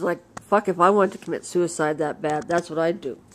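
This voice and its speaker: Here a woman speaks with a western Canadian accent. She keeps a moderate pace. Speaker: vlogger. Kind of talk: casual monologue rant. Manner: uneven loudness.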